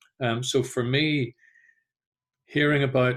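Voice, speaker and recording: Fairly even intonation in a Northern Irish accent, on a very clean recording with a silent background. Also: man. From Northern Ireland. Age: 50s. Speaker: genocide and trauma educator. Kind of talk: talk to community group. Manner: hesitant, many fillers.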